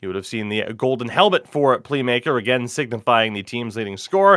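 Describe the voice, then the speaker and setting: A man's plain, everyday voice, fairly quick in pace, with lively intonation. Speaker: esports play-by-play commentator. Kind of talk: live commentary.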